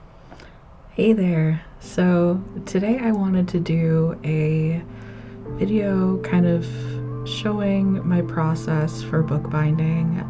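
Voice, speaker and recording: Soft-spoken and at a very slow pace, a woman with a very deep, low pitch makes very wide pitch swings at a very even loudness over music in the background. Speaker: hobby bookbinder. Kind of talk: relaxed craft voiceover.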